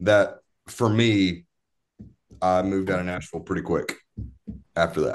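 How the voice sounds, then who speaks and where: A man with a Southern US accent and a very deep, low pitch, at a moderate pace, with fairly even intonation and long, frequent pauses. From East Tennessee, near Knoxville. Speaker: musician. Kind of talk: casual chat. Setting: video call. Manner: halting.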